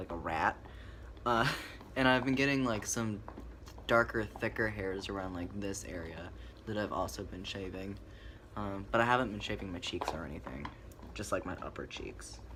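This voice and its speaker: Amid noticeable background noise and audible room echo, a man with a fairly low pitch speaks at a moderate pace, his intonation lively, his loudness swinging widely, with long, frequent pauses. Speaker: vlogger. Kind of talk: casual chat. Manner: hesitant, many fillers.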